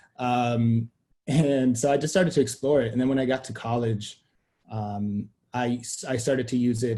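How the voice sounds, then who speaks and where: A man's medium-pitched voice, dark and mellow in tone, sounds somewhat breathy and keeps fairly even intonation. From Sweden. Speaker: media company co-founder. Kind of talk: interview conversation.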